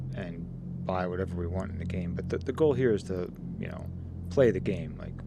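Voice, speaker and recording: A soft-spoken man with a very deep, low pitch talks in a relaxed tone at a moderate pace. Audible room echo surrounds his voice. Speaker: gaming commentator. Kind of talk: gameplay commentary.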